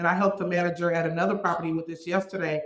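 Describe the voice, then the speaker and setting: A woman speaks at a very fast pace. Her pitch sits fairly low. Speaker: apartment community director. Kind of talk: interview. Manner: loud; animated.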